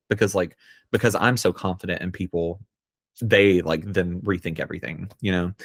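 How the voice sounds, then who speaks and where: A man with an American accent speaks at a moderate pace and a fairly low pitch. The recording is very clean with a silent background, and the sound is dry and close with no echo. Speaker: poet. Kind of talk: casual chat. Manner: halting, many fillers.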